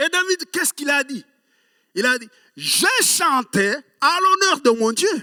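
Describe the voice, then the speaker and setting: At a very slow pace, a man uses a raised, projected voice with an extremely high pitch, a bright, sharp tone, lively intonation and big swings in loudness, the sound dry and close with no echo. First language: Kinyarwanda (speaking French). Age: 60s. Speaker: pastor. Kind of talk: sermon.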